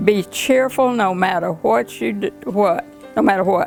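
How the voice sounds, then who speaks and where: A woman's medium-pitched voice with very wide pitch swings, music in the background. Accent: Southern US. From Griffin, Georgia. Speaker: retired teacher. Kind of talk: interview answer.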